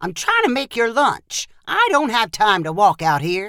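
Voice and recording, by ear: A woman does a put-on character voice at a medium pitch with a bright, sharp tone. Her pitch swings very widely at a fairly slow pace.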